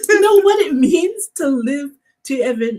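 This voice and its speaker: With lively intonation, a woman speaks in a somewhat breathy voice. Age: 60s. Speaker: podcast co-host. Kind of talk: casual chat. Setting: livestream.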